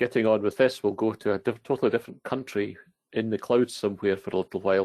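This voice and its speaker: Against a quiet background, a man with a Scottish accent speaks at a very fast pace, his fairly low voice keeping a fairly even intonation. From Scotland. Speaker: database consultant. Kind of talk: technical presentation.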